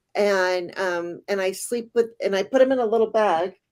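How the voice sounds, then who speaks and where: The clip is a very clean recording with a silent background. Heard in it is a plain, everyday voice at a moderate pace, with ordinary pitch variation. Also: woman. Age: 60s. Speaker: tarot reader. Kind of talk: casual interview.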